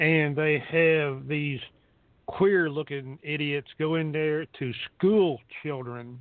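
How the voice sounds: The man's pitch sits fairly high. He talks slowly, with ordinary pitch variation.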